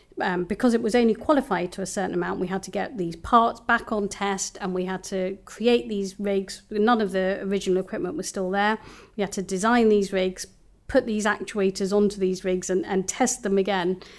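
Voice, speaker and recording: A woman in a London accent, medium in pitch with ordinary pitch variation, at a fairly quick pace on a very clean recording with a silent background. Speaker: systems engineer. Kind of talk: interview. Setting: studio.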